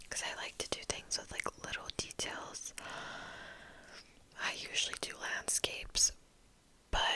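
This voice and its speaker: A woman whispers at a fairly slow pace, stopping for long, frequent pauses. Noticeable background noise runs underneath. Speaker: ASMR creator and hobbyist painter. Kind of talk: ASMR whisper ramble to camera. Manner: whispered, repetitive trigger-style words.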